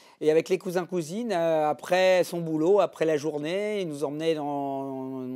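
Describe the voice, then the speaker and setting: On a very clean recording with a silent background, a man with a dark, mellow tone speaks fairly slowly with ordinary pitch variation. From Normandy, France. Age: 50s. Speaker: offshore racing sailor. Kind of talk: interview answer. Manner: hesitant, many fillers.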